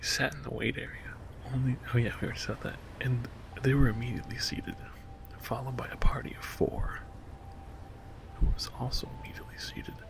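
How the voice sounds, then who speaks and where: Whispering at a fairly quick pace with music in the background. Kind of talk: ASMR whispered reading of online reviews. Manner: whispered; soft-spoken.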